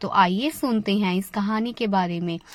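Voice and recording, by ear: At a moderate pace, a woman talks with medium pitch and ordinary pitch variation.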